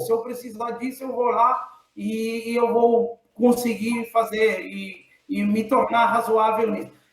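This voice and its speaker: This man speaks at an extremely high pitch. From Cape Verde. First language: Cape Verdean Creole (speaking Portuguese). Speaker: engineering professor. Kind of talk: casual chat.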